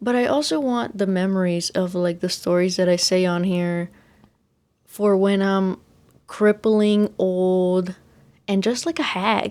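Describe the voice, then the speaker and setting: The speaker talks at a fairly slow pace with a Texan accent, ordinary pitch variation and very even loudness. The recording is very clean with a silent background. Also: woman, medium pitch for a woman. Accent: Texan American English. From Texas. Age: young. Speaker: podcaster. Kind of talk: casual chat.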